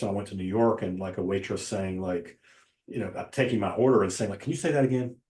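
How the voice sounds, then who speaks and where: A man with a fairly low voice talks at a very fast pace. His pitch moves in an ordinary way. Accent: Southern Appalachian. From Western North Carolina, near Asheville. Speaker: novelist and poet. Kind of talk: casual interview conversation.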